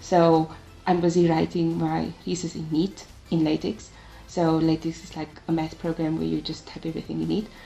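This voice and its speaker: A woman talks at a moderate speed while music plays behind her. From South Africa, Cape Town. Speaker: tech community ambassador and master's student. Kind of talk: interview.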